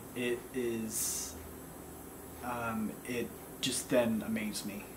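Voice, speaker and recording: A man's monotone, flat intonation comes through amid noticeable background noise. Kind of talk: casual vlog chat. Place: home room. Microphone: camera far.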